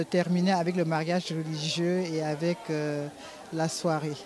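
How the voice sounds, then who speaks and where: Against clear music in the background, a woman with a fairly low pitch speaks at a very slow pace, the sound dry with no echo. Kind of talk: interview answer, wedding wishes. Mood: joyful, emotional. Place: hall. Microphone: handheld.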